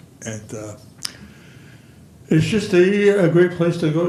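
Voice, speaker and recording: Fairly slow delivery from a man, audible room echo around it. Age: 80s+. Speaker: senior center participant. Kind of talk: public comment at council meeting. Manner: halting, many repetitions.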